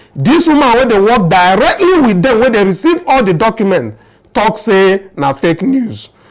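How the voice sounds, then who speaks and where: Here a man's high-pitched voice makes very wide pitch swings at a moderate pace. Noticeable background noise runs underneath. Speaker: political commentary show host. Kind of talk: political commentary in Pidgin.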